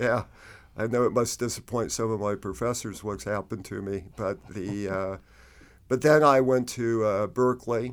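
A man with an American accent and an ordinary speaking voice, medium in pitch, at a moderate pace, with fairly even intonation, on a very clean recording with a silent background. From Arizona, Phoenix. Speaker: history professor. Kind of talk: interview.

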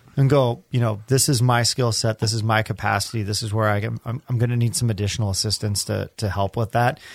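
A man's medium-pitched, somewhat breathy voice at a very fast pace with hardly any pauses, fairly even intonation, and a dry, close sound with no echo in a very clean recording with a silent background. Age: 30s. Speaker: podcast co-host. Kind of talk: casual chat.

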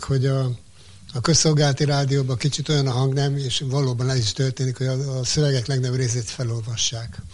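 A man talks at a very fast pace with a medium pitch. His intonation stays monotone and flat over noticeable background noise. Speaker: community radio manager. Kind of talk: interview. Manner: halting.

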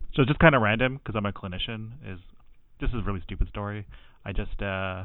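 A man's ordinary speaking voice with a Canadian accent, fairly low pitch and ordinary pitch variation. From Canada, Tamil background. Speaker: mental health clinician. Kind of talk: casual chat.

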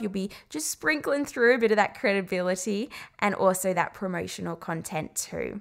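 The speech is lively in intonation and comes at a moderate pace on a very clean recording with a silent background. A woman talks with a medium pitch and a warm tone. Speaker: podcast host and marketing mentor. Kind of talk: solo podcast monologue. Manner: warm, smiling delivery; light and easy-going.

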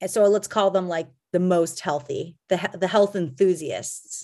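A woman speaks at a moderate pace with a medium pitch. Her intonation stays fairly even, and the background is quiet. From Canada, Calgary, Alberta. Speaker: kombucha company founder and CEO. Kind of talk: casual interview. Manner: halting, many fillers.

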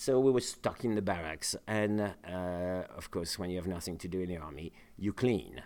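In a French accent, a man speaks with a very deep, low pitch. His pace is moderate and his pitch variation ordinary. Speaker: chef and cooking school co-host. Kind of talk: storytelling in casual chat. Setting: studio. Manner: halting, many fillers.

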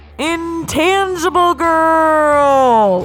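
A put-on character voice delivers a dramatic tone at an extremely high pitch, with clear music in the background. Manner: dramatic, announcing.

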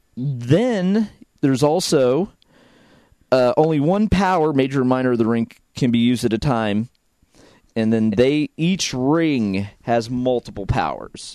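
A man speaks in a normal speaking voice at a medium pitch. His pace is fairly slow and his loudness very even. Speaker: podcast host. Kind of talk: casual chat.

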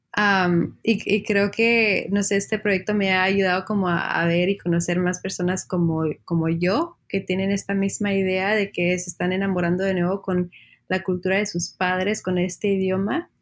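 A woman at a medium pitch, monotone and flat, at a moderate pace and a very even loudness. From Texas. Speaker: journalist. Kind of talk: casual interview chat.

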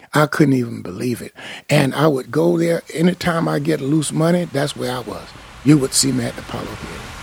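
A man at medium pitch talks fairly quickly, his pitch swinging very widely. His loudness shifts greatly, against noticeable background noise. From US South, central Florida (Apopka). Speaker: a cappella singer. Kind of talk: storytelling interview. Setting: record label office. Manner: halting, many fillers.

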